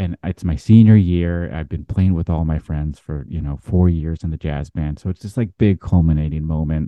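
Pausing hardly at all, a man with a very deep, low pitch talks at a moderate pace with ordinary pitch variation. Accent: American. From US Pacific Northwest, Seattle. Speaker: jazz trumpeter. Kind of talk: casual interview storytelling.

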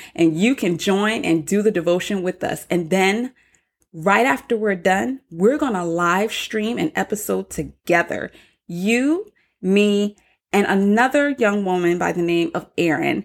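The delivery is fairly slow, with an animated tone and lively intonation. The recording is very clean, with a silent background. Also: woman, medium pitch for a woman. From US South, North Charleston, South Carolina. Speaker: podcast host. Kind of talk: solo podcast introduction.

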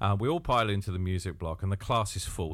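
Recorded very cleanly over a silent background, a man speaks with an English Midlands accent. His pitch is fairly low and his intonation lively. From Northamptonshire, England. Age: 50s. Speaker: podcaster and drummer. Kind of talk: solo podcast monologue. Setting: home studio.

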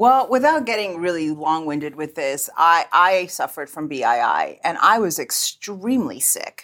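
A woman with a fairly low pitch speaks in a bright, sharp, animated tone, with very wide pitch swings and hardly any pauses. The recording is very clean, with a silent background. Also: moderate pace. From Cuban-American. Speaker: podcast co-host and producer. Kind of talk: casual chat. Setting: studio. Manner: animated, laughs often.

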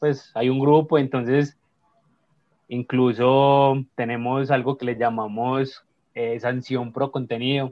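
A man speaks at a very slow pace in a medium-pitched voice. His intonation is monotone and flat. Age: 20s. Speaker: accountant, social media creator. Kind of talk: casual interview chat.

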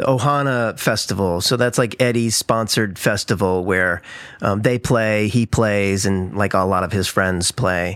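A plain, everyday voice at a moderate pace with ordinary pitch variation. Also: man, fairly low pitch for a man. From Missouri, St. Louis. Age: 50s. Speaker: actor and musician. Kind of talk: casual chat.

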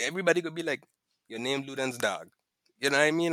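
The speaker is a man. His tone is bright and sharp. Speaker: podcast guest, host's close friend. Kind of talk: casual chat. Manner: dry, sarcastic delivery when joking.

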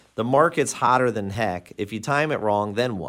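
In a very clean recording with a silent background, a man with a plain, everyday voice speaks in a medium pitch with lively intonation. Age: 40s. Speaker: mortgage broker. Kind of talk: casual chat.

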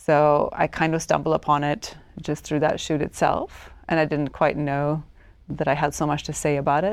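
A woman speaks in a very deep, low pitch with monotone, flat intonation. The recording is very clean, the background silent. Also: moderate pace. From Sweden, Stockholm. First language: Swedish. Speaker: photographer. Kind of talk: interview.

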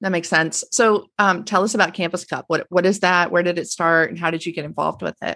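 With a bright, sharp tone and fairly low pitch, a woman speaks at a very fast pace with hardly any pauses and fairly even intonation against a quiet background. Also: dry, close sound with no echo. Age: 40s. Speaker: podcast host, nonprofit communications officer. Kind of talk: interview.

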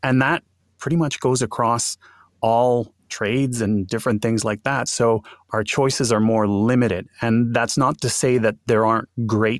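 In a Montreal accent, a man talks at a moderate pace and medium pitch with ordinary pitch variation, on a very clean recording with a silent background and a dry, close sound with no echo. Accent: English-speaking Montreal Canadian. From Montreal, Quebec. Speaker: bilingual voice actor. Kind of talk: interview conversation.

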